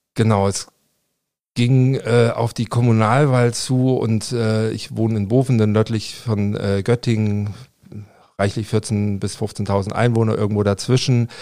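Speaking in a medium pitch with a dark, mellow tone, a man talks at a fairly slow pace with monotone, flat intonation. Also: very clean recording, silent background. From Leipzig, eastern Germany. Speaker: politician, former political scientist. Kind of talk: interview. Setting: podcast studio. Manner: hesitant, many fillers and repetitions.

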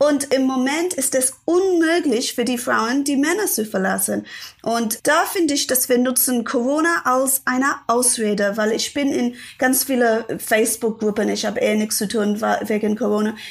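Speaking with an English accent, a woman with a high pitch talks at a moderate pace with ordinary pitch variation. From London, England. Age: 40s. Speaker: author.

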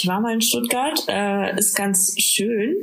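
Speaking very slowly, a woman uses a medium pitch. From Bavaria, Bad Aibling. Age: 20s. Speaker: podcast co-host. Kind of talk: casual chat. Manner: halting, many fillers.

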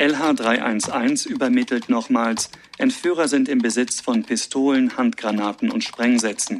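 Words come out at a very slow pace, with noticeable background noise around them. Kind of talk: reading log entries. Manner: terse, matter-of-fact.

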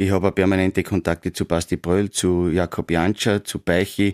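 In a Styrian accent, a man talks at a very deep, low pitch and a moderate pace with monotone, flat intonation. The very clean recording has a silent background and a dry, close sound with no echo. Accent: Styrian Austrian German. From Austria, Styria (Graz). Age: 50s. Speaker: football coach and former player. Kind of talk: casual interview.

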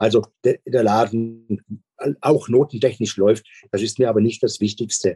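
With a dark, mellow tone and fairly even intonation, a man speaks at a medium pitch in a dry, close recording with no echo. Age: 60s. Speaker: school principal. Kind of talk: interview.

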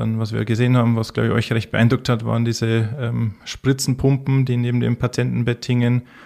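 This man's voice sits at medium pitch, with a dark, mellow tone and monotone, flat intonation. The recording is very clean, with a silent background. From Bavaria, Bavarian Forest. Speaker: intensive care physician. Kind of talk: interview.

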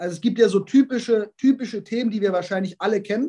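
Talking at a fairly quick pace, a man keeps fairly even intonation at a high pitch. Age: 30s. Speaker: sports scientist. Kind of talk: interview.

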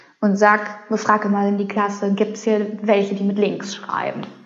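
Audible room echo colors the speech. The woman's pitch is fairly high. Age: 30s. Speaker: sex educator. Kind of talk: casual interview.

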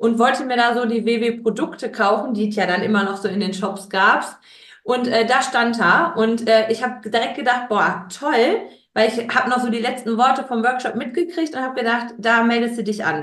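A woman's fairly high voice at a moderate pace, with noticeable background noise. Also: ordinary pitch variation. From Ruhr area, Germany (Gelsenkirchen). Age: 30s. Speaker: guest, childcare worker. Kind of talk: interview.

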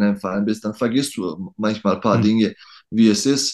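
A man's fairly low voice over a quiet background. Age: 30s. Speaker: professional basketball player. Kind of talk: interview. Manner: halting.

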